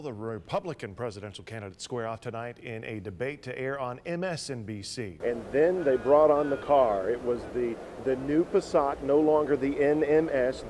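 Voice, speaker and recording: A man with an American accent at a medium pitch and moderate pace, lively in intonation, with hardly any pauses, big swings in loudness and noticeable background noise. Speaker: TV news anchor and reporter. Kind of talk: field reporter stand-up and live report. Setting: outdoors on location.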